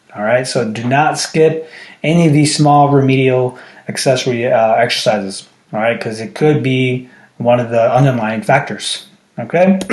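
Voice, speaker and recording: Audible room echo accompanies a man talking at a moderate pace and medium pitch. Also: ordinary pitch variation. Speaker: strength coach. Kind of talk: tutorial. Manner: casual, frequent filler checks.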